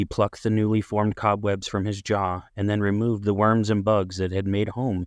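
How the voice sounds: Natural reading aloud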